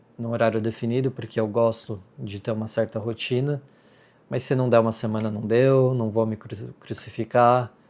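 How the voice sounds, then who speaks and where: The speaker has a Brazilian accent and a moderate pace. The intonation is monotone and flat. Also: man, medium pitch for a man, very clean recording, silent background. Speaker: vlogger. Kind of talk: casual vlog talk to camera. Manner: hesitant, many fillers.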